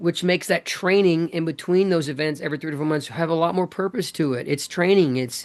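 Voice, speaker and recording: This man talks at a fairly quick pace with hardly any pauses. His voice is high in pitch and animated in tone, with ordinary pitch variation. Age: 50s. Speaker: fitness coach and event brand leader. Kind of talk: podcast interview.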